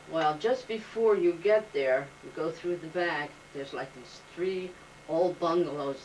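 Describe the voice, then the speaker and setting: A woman with a New Jersey accent speaks at a fairly slow pace in a fairly low pitch, with ordinary pitch variation. Her loudness swings widely, and there is noticeable background noise. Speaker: oral history interviewee. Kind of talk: oral history interview. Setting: home.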